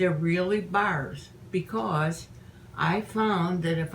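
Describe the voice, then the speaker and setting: Noticeable background noise sits under a woman speaking at a very slow pace. Her voice is fairly low in pitch, with ordinary pitch variation. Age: 80s+. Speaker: home baker teaching a family recipe. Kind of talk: casual cooking demonstration.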